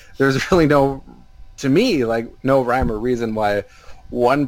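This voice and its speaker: A man speaks with an American accent. There is noticeable background noise. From Minnesota. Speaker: basketball writer. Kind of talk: casual chat.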